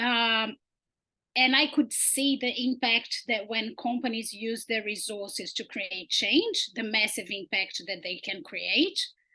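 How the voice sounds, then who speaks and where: In a Portuguese accent, the speaker talks at a fairly slow pace with a bright, sharp tone. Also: woman, fairly high pitch for a woman, ordinary pitch variation. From Brazil. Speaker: sustainability researcher. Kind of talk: research presentation.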